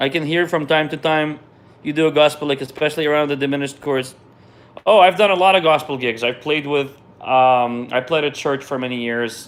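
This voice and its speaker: Talking at a fairly quick pace, a man with a Russian accent has a fairly high pitch and fairly even intonation. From Israel. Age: 30s. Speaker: jazz pianist. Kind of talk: live stream Q&A. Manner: casual, hesitant with repetitions.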